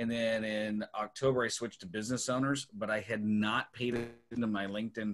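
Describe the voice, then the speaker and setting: At a moderate pace, a man speaks with a bright, sharp tone. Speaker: business coach. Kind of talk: hosting a live webinar. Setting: video call. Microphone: video call.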